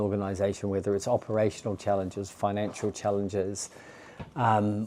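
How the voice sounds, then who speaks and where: Speaking at a fairly quick pace with a New Zealand accent, a man has a fairly low pitch and a dark, mellow tone. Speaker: charity chief executive. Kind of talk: interview. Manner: hesitant, with false starts.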